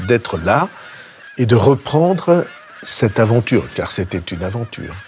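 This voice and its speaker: A man at a medium pitch talks at a fairly slow pace with very wide pitch swings, over noticeable background noise. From Béarn, south-west France. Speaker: politician. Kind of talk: interview answer.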